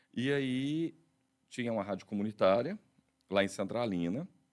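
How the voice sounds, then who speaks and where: Very wide pitch swings mark a man's speech, captured in a very clean recording against a silent background. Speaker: radio and TV announcer. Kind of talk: interview answer telling his career story.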